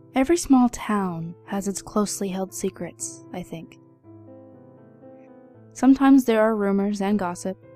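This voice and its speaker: Music plays in the background as a woman speaks at a medium pitch with lively intonation, big swings in loudness and long, frequent pauses. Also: moderate pace. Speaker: narrator. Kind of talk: horror story narration.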